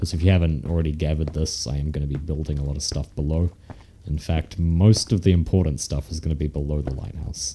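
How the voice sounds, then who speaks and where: A man with a very deep, low pitch speaks at a very fast pace with fairly even intonation. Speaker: Minecraft let's play commentator. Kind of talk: casual gaming commentary.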